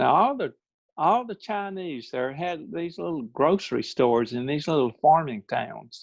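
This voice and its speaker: A fairly high-pitched man in a Mississippi accent, with very wide pitch swings. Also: moderate pace. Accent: Southern US (Mississippi). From US South, Mississippi Delta. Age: 70s. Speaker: electronics company founder. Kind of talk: presentation. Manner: halting.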